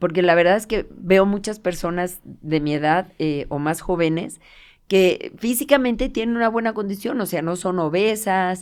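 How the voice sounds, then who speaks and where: A woman's plain, everyday voice at medium pitch, fairly slow pace and ordinary pitch variation, in a very clean recording with a silent background. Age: 60s. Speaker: physiotherapist. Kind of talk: casual interview.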